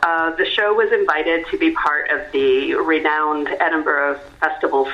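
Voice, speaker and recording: Noticeable background noise and audible room echo surround a woman speaking with a Canadian accent. Her pitch is very deep and low, her pace moderate and her intonation fairly even. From Canada. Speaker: actor and theatre creator. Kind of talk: radio interview. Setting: phone call.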